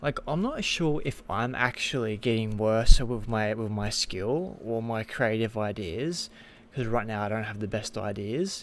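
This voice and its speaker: Lively intonation marks a man's medium-pitched voice, which carries an Australian accent and moves at a fairly slow pace. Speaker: gaming content creator. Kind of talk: casual vlog commentary. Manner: halting, many fillers and restarts.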